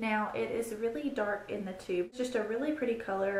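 A woman speaks at a moderate pace with ordinary pitch variation, and audible room echo surrounds her voice. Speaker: beauty vlogger. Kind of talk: product review chat. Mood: upbeat, enthusiastic. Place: home room. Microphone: phone near.

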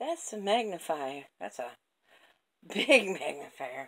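A woman's very slow speech with vocal fry, over a quiet background. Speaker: home vlogger. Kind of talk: casual vlog chat. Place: home room. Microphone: phone near.

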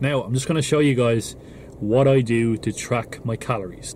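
A man speaks with ordinary pitch variation. There is light background noise and a dry sound with no echo. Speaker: fitness vlogger. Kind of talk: casual vlog chat. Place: car. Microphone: phone near.

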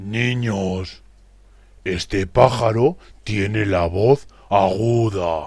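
A man's cartoonish character voice, fairly low in pitch, slightly mellow and with vocal fry, at a very slow pace and with fairly even intonation

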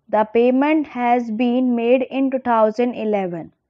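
A woman talks at a fairly slow pace in a high voice. Her pitch variation is ordinary. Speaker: shorthand dictation teacher. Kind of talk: shorthand dictation read. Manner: slow, steady.

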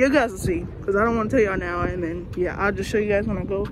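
There's noticeable background noise here. A woman's voice comes through it. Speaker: vlogger. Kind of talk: casual talk to camera. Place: home room. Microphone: phone near.

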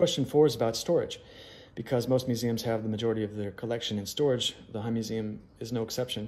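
Fairly quick speech from a man with an American accent. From US Midwest (Chicago). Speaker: museum curator. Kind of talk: Q&A monologue for social media. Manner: hesitant with frequent fillers. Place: home room. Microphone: phone near.

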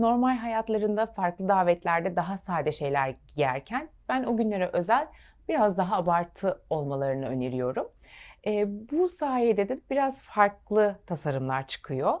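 A woman's medium-pitched voice with very wide pitch swings at a fairly slow pace, on a very clean recording with a silent background. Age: 30s. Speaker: fashion designer. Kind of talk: TV interview.

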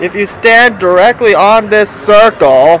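A woman speaks in a dry, echo-free sound, with crowd noise audible in the background. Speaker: park vlogger. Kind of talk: casual vlog chat. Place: street. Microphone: phone near.

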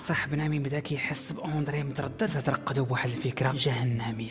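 Over music in the background, a man with a Moroccan accent speaks fairly quickly in a fairly high pitch with ordinary pitch variation. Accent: Moroccan Darija. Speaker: YouTube storyteller. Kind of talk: casual storytelling to camera.

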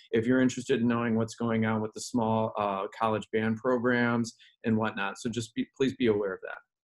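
Against a quiet background, a man with an unremarkable speaking voice talks at a fairly quick pace and a medium pitch. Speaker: music educator. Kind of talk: online panel discussion. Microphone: video call.

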